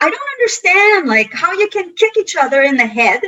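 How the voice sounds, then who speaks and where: A woman's voice at a moderate pace with very wide pitch swings. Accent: Quebec. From Quebec (Montreal). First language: French. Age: 50s. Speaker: karate instructor. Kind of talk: interview conversation. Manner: animated; halting.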